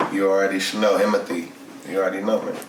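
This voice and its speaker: There is audible room echo and noticeable background noise as a man speaks at a fairly low pitch. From Inglewood, Los Angeles, California. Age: 30s. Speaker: rapper. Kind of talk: casual interview chat. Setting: studio.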